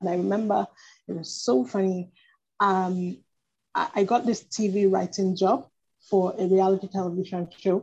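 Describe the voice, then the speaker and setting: A woman's dark, mellow, somewhat breathy voice, with ordinary pitch variation and long, frequent pauses. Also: medium pitch for a woman, moderate pace. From Nigeria. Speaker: fiction writer and blogger. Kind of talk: interview.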